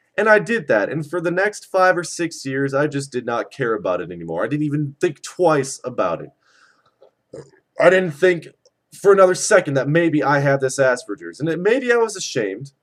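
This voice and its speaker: With lively intonation, a man speaks in a plain, everyday voice at a fairly high pitch. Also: moderate pace. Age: 20s. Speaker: vlogger. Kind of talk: personal rant vlog. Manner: repeats words, some stumbling.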